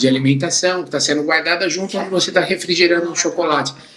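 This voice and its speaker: A man speaks at a very fast pace with fairly even intonation. There is noticeable background noise. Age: 60s. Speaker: entrepreneur, chocolate factory owner. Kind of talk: interview.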